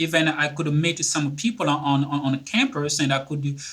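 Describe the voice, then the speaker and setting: At a moderate pace, a man speaks in a bright, sharp tone at a fairly high pitch with ordinary pitch variation. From Republic of the Congo. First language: French. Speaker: author and speaker. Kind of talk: interview. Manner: halting, many fillers and repetitions.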